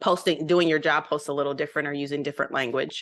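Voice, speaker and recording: A bright, sharp tone over a quiet background. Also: woman. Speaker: mentor and trainer. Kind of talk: training session. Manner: fast.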